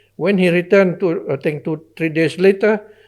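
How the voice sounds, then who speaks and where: Recorded very cleanly against a silent background, a man speaks with a Sabahan accent. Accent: Malaysian (Sabahan) English. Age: 80s+. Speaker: retired civil servant, statesman. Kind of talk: interview answer.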